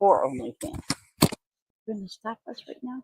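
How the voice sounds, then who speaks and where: A woman's voice, dark and mellow in tone, comes across somewhat breathy. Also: dry, close sound with no echo. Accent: American. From Ohio. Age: 60s. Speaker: interviewee, grandmother. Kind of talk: casual livestream interview.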